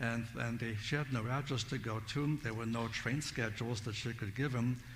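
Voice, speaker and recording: In a room with audible echo, a somewhat breathy man speaks with fairly even intonation. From Siberia, Russia. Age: 70s. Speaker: Bible teacher. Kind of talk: testimony.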